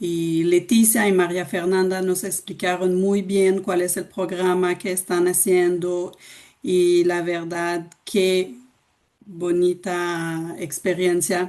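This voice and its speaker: A woman's fairly low, dark and mellow voice in a Quebec accent, with monotone, flat intonation at a very slow pace. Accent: Québécois French. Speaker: cultural organization director presenting. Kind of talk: webinar presentation. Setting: video call from home. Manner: slow, deliberate for learners.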